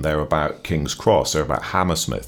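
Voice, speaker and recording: Noticeable background noise sits behind this recording. The man's voice is very deep and low. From England, Norwich. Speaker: biographer and former journalist. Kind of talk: interview. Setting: studio.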